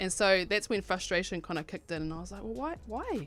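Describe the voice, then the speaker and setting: With a New Zealand accent, a woman speaks at a very fast pace with ordinary pitch variation over music in the background. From New Zealand, Rotorua. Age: 30s. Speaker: clothing brand owner. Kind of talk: radio interview.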